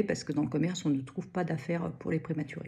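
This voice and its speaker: Somewhat breathy, a woman speaks in a dark, mellow tone at a fairly low pitch with fairly even intonation. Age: 60s. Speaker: knitting student. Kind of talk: testimony. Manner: halting, many hesitations.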